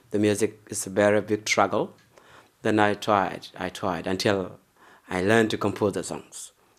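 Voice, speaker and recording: At a moderate pace, a man with a non-native accent speaks in a fairly low, monotone, flat voice. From South Sudan. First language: not English. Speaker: musician. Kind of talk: interview.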